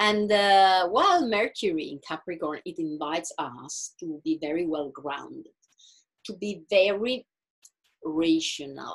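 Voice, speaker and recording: Speaking fairly slowly with an Italian accent, a woman at medium pitch uses lively intonation and big swings in loudness. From Italy. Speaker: astrologer and meditation guide. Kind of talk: talk to online group. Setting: video call. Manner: halting.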